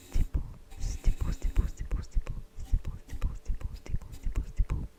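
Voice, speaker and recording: Someone whispers at a moderate pace. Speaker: ASMR creator. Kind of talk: ASMR trigger words. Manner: whispered.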